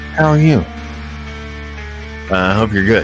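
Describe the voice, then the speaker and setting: Over music in the background, a man talks in a relaxed tone. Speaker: livestream host. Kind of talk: casual live stream talk. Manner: relaxed, rambling, hesitant.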